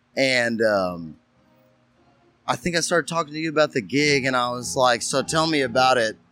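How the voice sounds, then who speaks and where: Music plays in the background. A man talks in a Texan accent with ordinary pitch variation. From Texas, Huffman. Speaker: guitarist. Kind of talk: casual chat.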